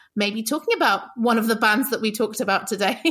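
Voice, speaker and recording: A woman talks with a British accent. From UK. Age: 30s. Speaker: podcast guest, music podcaster. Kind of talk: casual chat.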